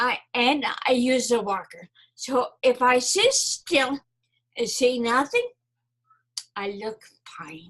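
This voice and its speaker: A woman talks at a very slow pace, leaving long, frequent pauses. Her high-pitched voice carries lively intonation. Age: 70s. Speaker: stroke survivor, marketing coach. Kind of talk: interview. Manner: hard to understand.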